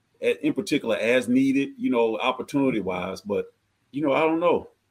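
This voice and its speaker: An ordinary speaking voice from a man with an American accent, ordinary pitch variation and a fairly quick pace. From US South, Georgia. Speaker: nonprofit founder. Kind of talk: casual chat.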